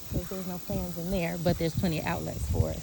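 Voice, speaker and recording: The voice is quiet and moves at a fairly quick pace. Noticeable noise sits in the background. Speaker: event organizer scouting a venue. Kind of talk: casual walkthrough video. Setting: outdoors. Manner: hesitant, many fillers; speaking quietly.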